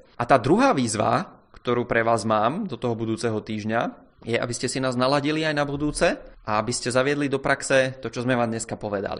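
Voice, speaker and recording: In an ordinary speaking voice of medium pitch, a man talks with hardly any pauses and ordinary pitch variation. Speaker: podcast co-host, management blogger. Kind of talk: casual chat.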